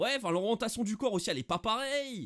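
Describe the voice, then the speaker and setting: A man is recorded very cleanly against a silent background. The sound is dry and close, with no echo. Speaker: football YouTuber, Barça fan. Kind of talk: casual match debrief. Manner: hesitant, many fillers.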